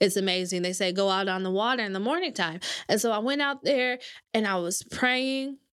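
The speaker has a normal speaking voice with an American accent. The pitch varies in an ordinary way. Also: woman, medium pitch for a woman. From Michigan, Grand Rapids. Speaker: content writer. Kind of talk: casual chat. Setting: studio.

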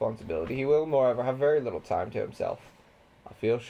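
This is reading aloud in a natural voice with ordinary pitch variation.

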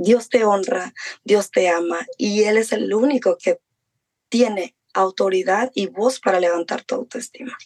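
In an ordinary speaking voice, a woman of fairly high pitch talks at a fairly slow pace with ordinary pitch variation, the sound dry and close with no echo. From Mexico. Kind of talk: interview testimony.

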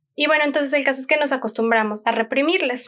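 The pitch of this woman's voice varies in an ordinary way. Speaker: parenting podcast host. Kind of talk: solo podcast talk. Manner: calm.

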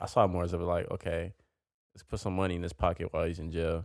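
A man with a very deep, low pitch and vocal fry talks at a very fast pace. The recording is very clean, dry and close, with no echo and a silent background. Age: 20s. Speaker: podcast co-host. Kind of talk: casual chat.

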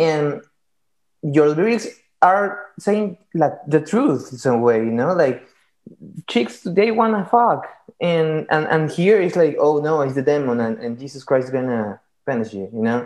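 A man with a Latin American accent speaks at a fairly slow pace, leaving long, frequent pauses. His fairly high voice swings very widely in pitch. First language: Spanish. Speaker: podcast host. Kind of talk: casual interview. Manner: halting.

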